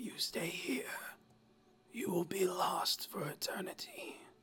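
In a put-on character voice, the speaker sounds raspy and strained, with a fairly high pitch and a fairly slow pace. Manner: ominous, air forced through throat.

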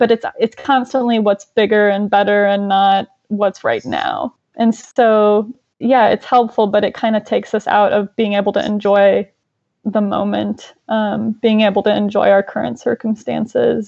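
A woman has an ordinary speaking voice, pitched fairly high. Her intonation is fairly even and her pace moderate. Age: 20s. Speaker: clinical psychologist and therapist. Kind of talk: casual interview.

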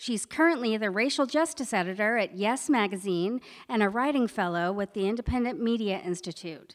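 Speaking in an ordinary speaking voice, a woman with a fairly high pitch moves at a fairly quick pace with lively intonation and hardly any pauses, on a very clean recording with a silent background. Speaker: event announcer. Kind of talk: scripted event introduction. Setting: stage with audience.

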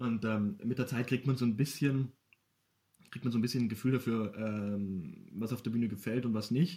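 A man with a medium pitch and a dark, mellow tone talks at a moderate pace, somewhat breathy, with ordinary pitch variation. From Bavaria, Ingolstadt. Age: 20s. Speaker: poetry slammer and local sports journalist. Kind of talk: casual interview.

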